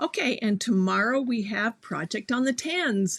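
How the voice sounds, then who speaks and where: In an American accent, a woman speaks at a moderate pace and fairly high pitch, somewhat breathy and with lively intonation, in a very clean recording over a silent background. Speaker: sewing teacher. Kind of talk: live stream chat. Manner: animated.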